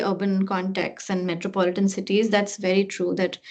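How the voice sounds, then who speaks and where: A woman speaks with an Indian accent at a medium pitch. The background is quiet. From India, Delhi. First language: Hindi. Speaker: researcher. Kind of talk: academic Q&A discussion.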